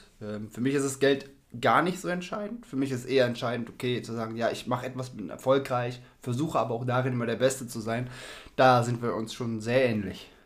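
A man speaks fairly quickly at a medium pitch, with ordinary pitch variation. Room echo is audible. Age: 40s. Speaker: podcast co-host, stepfather in sales. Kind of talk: casual chat.

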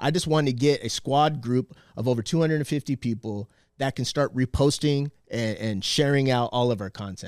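A man's voice at medium pitch, a normal speaking voice with ordinary pitch variation, captured in a very clean recording with a silent background and a dry, close sound with no echo. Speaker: activist on media campaign. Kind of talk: casual chat.

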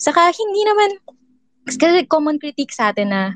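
In a dry, close sound with no echo, a woman speaks at a fairly quick pace. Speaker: discussion participant.

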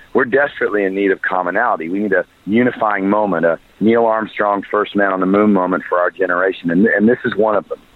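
A man speaks at a very fast pace. His pitch is fairly low and his intonation fairly even. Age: 40s. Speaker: former pastor, charity worker. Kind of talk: interview.

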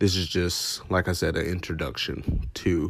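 A man's very deep, low voice with vocal fry at a fairly slow pace, on a very clean recording with a silent background. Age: 20s. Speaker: podcast host and cosmetology student. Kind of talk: casual solo podcast introduction. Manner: hesitant, many fillers.

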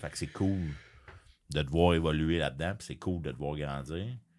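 On a very clean recording with a silent background, a man talks with a very deep, low pitch and ordinary pitch variation. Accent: Quebec. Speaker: podcast host. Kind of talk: casual chat.

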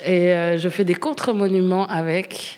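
A woman speaks at a very slow pace with a fairly low pitch. Her pitch varies in an ordinary way. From Ixelles, Brussels. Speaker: activist artist. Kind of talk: interview.

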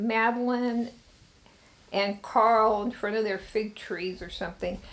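In an ordinary speaking voice, a woman with an American accent speaks at a moderate pace, fairly high in pitch with fairly even intonation. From Sacramento, California. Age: 60s. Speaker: interviewee, recovering addict. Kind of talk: life story interview. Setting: bedroom recording.

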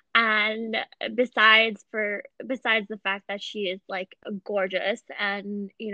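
A woman with an American accent talks at a medium pitch. Her intonation is flat and monotone. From Pakistan, moved to US at 8. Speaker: podcast host. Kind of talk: casual interview.

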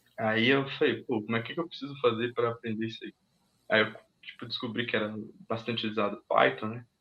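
With fairly even intonation, the man talks at a medium pitch. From Minas Gerais, Brazil. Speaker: technology professional. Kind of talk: casual interview on a livestream.

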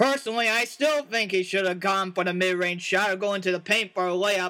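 An animated man's raised, projected voice, high in pitch with a bright, sharp tone, at a moderate pace. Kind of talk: live sports commentary, a mock broadcast of an imagined tournament.

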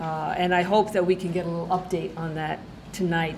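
Noticeable background noise sits behind the speech. The delivery is fairly quick and monotone, with flat intonation. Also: woman. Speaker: event organizer. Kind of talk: formal introduction. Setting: stage with audience.

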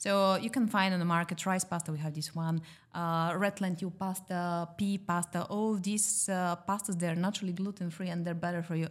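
The voice moves at a fairly quick pace. Its intonation is monotone and flat. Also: woman, fairly low pitch for a woman, very clean recording, silent background. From Bulgaria. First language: Bulgarian. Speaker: pasta shop owner and former journalist. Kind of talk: casual podcast interview.

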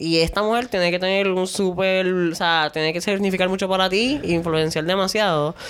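A woman with an unremarkable speaking voice, medium pitch, fairly even intonation, very even loudness, a moderate pace and hardly any pauses. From Puerto Rico. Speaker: podcast host. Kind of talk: casual chat.

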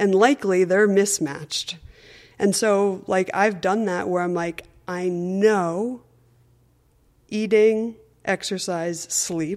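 A woman at a medium pitch with an American accent and fairly even intonation, speaking at a very slow pace with long, frequent pauses, in a very clean recording with a silent background. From Connecticut, US. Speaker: running coach, former college runner. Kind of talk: interview.

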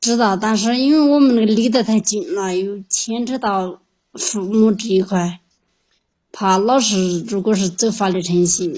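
Speaking at a fairly slow pace, a woman uses a fairly high, somewhat breathy voice with ordinary pitch variation. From Yunnan, China (Qujing). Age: 30s. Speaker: caller seeking relationship advice. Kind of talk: phone-in advice call.

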